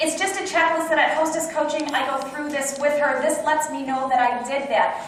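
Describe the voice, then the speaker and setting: A woman talks at a fairly quick pace in a high, animated voice. Light background noise and audible room echo are present. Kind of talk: training talk with role-play. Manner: fast. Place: meeting room. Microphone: camera far.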